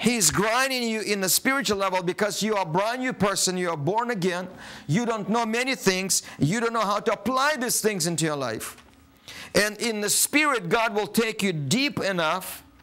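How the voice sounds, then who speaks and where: The voice is raised and projected, with a bright, sharp tone. It moves at a moderate pace with ordinary pitch variation. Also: man. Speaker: preacher. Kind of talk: sermon. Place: studio.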